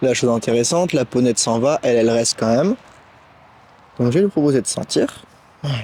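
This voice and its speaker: The speech moves at a fairly quick pace with long, frequent pauses and ordinary pitch variation, in a dry, close sound with no echo. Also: man, medium pitch for a man. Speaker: horse trainer. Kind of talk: outdoor tutorial vlog.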